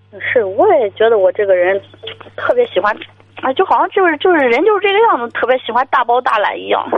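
Over noticeable background noise, a woman talks at a fairly quick pace. Her high voice swings very widely in pitch. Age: 30s. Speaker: sales manager. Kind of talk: phone-in call. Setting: phone call.

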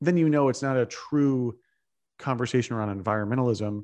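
A man's medium-pitched voice, a normal speaking voice, at a fairly quick pace with ordinary pitch variation over a quiet background. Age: 30s. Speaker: Bitcoin investor and advocate. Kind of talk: interview.

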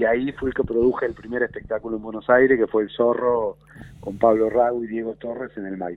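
A man's intonation stays monotone and flat as he talks at a fairly quick pace. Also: medium pitch for a man. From Argentina, Mar del Plata (raised from age 9-10; born in rural Córdoba). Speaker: theatre producer and businessman. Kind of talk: radio interview. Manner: halting, many repeated words.

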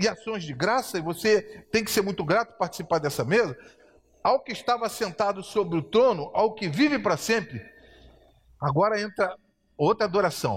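Animated and high-pitched, a man speaks at a moderate pace. His pitch swings very widely. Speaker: preacher. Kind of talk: sermon with Bible reading, live church service. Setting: church. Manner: animated, fervent, exhortative; conversational, asks the congregation for responses.

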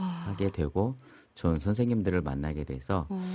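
A man's voice with lively intonation. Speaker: pastor who repairs guitars. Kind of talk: interview. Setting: studio.

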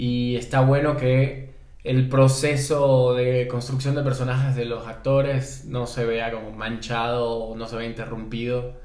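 A man's medium-pitched voice at a fairly slow pace, monotone and flat in intonation, with audible room echo. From Ecuador, Guayaquil. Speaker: film and TV director and screenwriter. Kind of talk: interview conversation. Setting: in-person studio recording.

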